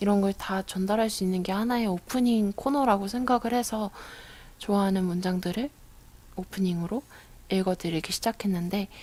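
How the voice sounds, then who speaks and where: The woman's pitch sits in the middle of her range, and it moves up and down in an ordinary way. Her delivery is moderate in speed, with a dark, mellow tone. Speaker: radio DJ. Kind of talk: casual radio talk reading listener messages.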